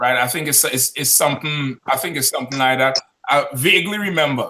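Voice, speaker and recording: With a normal speaking voice, a man talks at a fairly quick pace, his pitch fairly high and showing ordinary variation. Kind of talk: live call-in debate discussion. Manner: argumentative, dismissive.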